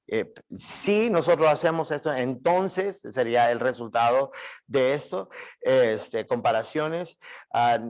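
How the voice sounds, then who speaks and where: Speaking at a very slow pace, a man uses lively intonation in a fairly high pitch. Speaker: Bible teacher. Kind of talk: lecture. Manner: halting, many fillers.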